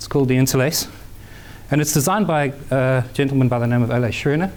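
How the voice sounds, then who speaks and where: Audible room echo surrounds a man whose fairly high-pitched voice shows ordinary pitch variation. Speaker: software developer and company owner. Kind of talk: conference talk. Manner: fast.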